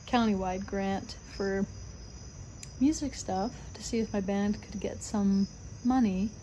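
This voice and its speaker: Somewhat breathy speech from a woman, with a dark, mellow tone, fairly even intonation and a fairly slow pace. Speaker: vlogger, restaurant server and musician. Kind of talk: casual vlog talk to camera. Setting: outdoors on front porch. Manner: halting with self-corrections.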